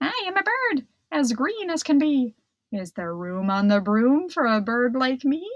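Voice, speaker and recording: Using a put-on character voice, a woman speaks at a high pitch and moderate pace with very wide pitch swings. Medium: read story.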